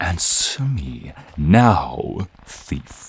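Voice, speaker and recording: A man puts on a gruff character voice. His pitch is very deep and low. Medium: audio drama.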